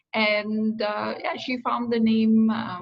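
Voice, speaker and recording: In an Indian accent, the speaker goes at a very slow pace with fairly even intonation amid audible room echo. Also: woman. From India, Agra. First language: Hindi. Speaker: career coach. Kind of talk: interview. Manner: hesitant, many fillers.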